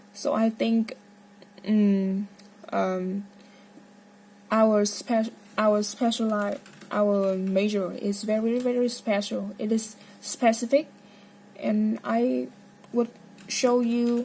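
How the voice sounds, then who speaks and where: Amid noticeable background noise, a woman speaks very slowly with long, frequent pauses, a fairly high pitch and ordinary pitch variation. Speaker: medical student. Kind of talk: casual monologue. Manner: halting.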